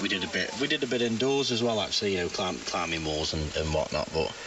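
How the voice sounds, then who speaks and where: Amid noticeable background noise and audible room echo, a man talks very fast with ordinary pitch variation. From Staffordshire, England. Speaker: amateur radio operator. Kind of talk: ham radio on-air chat. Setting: radio transmission. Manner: halting, many fillers.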